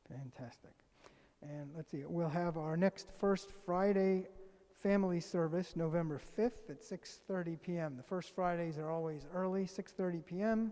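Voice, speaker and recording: The speaker is soft-spoken. The pace is moderate. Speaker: congregant giving announcements. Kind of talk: reading announcements. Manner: halting.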